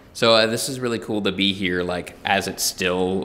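With an ordinary speaking voice, a man speaks at a fairly low pitch and with fairly even intonation. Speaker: podcast host. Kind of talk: interview conversation. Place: empty room.

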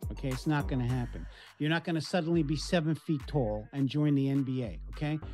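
With faint music in the background, a man speaks at a fairly quick pace. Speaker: life coach. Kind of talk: interview answer. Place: office. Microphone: webcam.

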